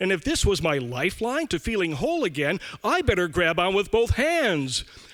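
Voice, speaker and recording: A man's raised, projected voice, high-pitched, with a bright, sharp tone and very wide pitch swings. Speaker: storyteller. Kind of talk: live storytelling performance. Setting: live theater stage.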